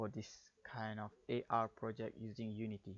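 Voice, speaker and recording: This man talks at a medium pitch. He speaks with a Malaysian accent. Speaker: game developer. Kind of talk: tutorial. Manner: halting.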